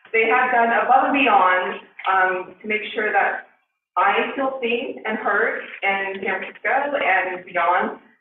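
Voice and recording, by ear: Strong room echo fills the space as a woman speaks slowly. Her pitch is medium, with ordinary variation.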